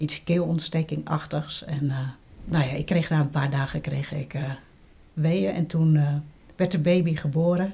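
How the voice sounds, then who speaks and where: A woman's very deep, low-pitched voice, dark and mellow in tone, with vocal fry, fairly even intonation and a fairly slow pace. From Netherlands, Gouda (South Holland). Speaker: interviewee, blind woman. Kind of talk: personal testimony interview. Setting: at a living room table.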